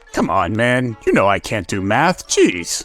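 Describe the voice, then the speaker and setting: A man puts on a character voice, speaking at a fairly slow pace with a medium pitch. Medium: audio drama. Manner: slow, dim.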